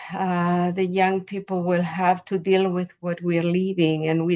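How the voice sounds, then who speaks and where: Very slowly and in a flat monotone, a woman speaks at a fairly low pitch, the sound dry and close with no echo against a quiet background. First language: Spanish. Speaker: poet. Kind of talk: interview. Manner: halting.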